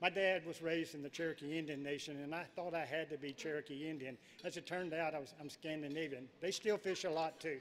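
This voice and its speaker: A man talks at a very fast pace with hardly any pauses. His pitch is fairly high, and his intonation stays fairly even. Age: 70s. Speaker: professional angler. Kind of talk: acceptance speech. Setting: stage with audience.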